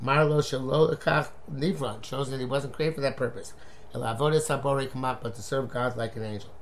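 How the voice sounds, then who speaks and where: Amid noticeable background noise, a man of medium pitch speaks at a fairly slow pace. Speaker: Torah teacher. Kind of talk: lecture.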